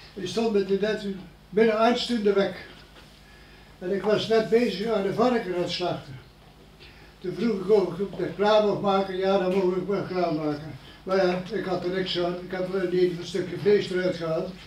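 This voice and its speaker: Fairly even intonation comes through light background noise and audible room echo. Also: man, high pitch for a man, moderate pace. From Netherlands, Elden near Arnhem (Gelderland); Gelderland, Netherlands. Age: 90s. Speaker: war eyewitness, elderly villager; witness. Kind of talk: interview storytelling. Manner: halting. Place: meeting room. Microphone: camera far.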